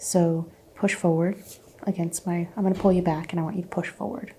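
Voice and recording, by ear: A woman speaks in a dark, mellow tone with a slightly husky edge.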